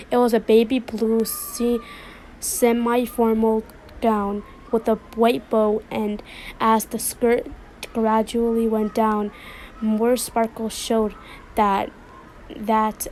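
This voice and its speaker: Speaking very slowly with long, frequent pauses, a woman keeps a flat monotone at a fairly high pitch. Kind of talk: read story. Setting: home, background noise of kids playing. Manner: stuttering.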